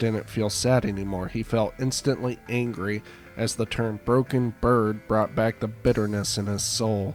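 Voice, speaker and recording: Music plays behind a man who talks at a fairly slow pace in a medium pitch. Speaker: audiobook narrator. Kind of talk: read story.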